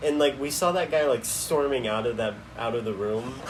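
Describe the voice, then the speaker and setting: A man with a fairly high pitch talks at a moderate pace while noticeable background noise runs behind him. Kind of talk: casual chat. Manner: loud; animated.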